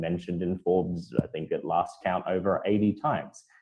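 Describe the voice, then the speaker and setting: A man in an Australian accent at a moderate pace. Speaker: content writer and marketer. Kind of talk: panel discussion.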